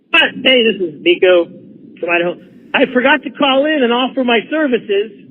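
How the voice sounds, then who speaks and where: Over noticeable background noise, a man with an extremely high pitch speaks at a moderate pace, his intonation lively. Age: 50s. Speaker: caller. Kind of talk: phone-in chat. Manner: animated.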